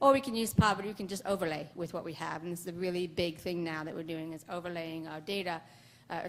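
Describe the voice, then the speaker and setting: A woman's fairly low voice shows ordinary pitch variation. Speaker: public health epidemiologist. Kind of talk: conference presentation. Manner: fast; mumbly, many fillers.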